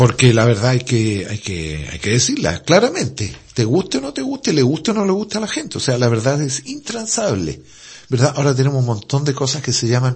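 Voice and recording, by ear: A man talks at a fairly quick pace and medium pitch, with very wide pitch swings and a slightly mellow tone.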